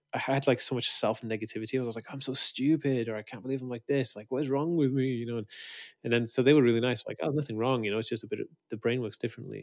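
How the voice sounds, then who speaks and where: A north Welsh accent on a very clean recording with a silent background. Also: man. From Wales, Anglesey. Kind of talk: interview.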